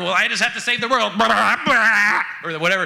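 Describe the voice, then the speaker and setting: Speaking at a moderate pace, a man uses a put-on character voice pitched high for a man. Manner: bleating, flat, unrehearsed.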